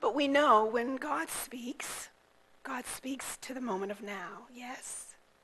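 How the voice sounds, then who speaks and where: Over noticeable background noise, the speaker talks at a very slow pace. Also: woman, high pitch for a woman, ordinary pitch variation, big swings in loudness. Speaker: guest minister. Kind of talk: sermon. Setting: church.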